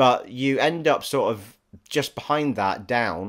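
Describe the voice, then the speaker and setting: A man with an English accent on a very clean recording with a silent background. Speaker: gaming vlogger. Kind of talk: casual vlog chat. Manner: halting, many restarts.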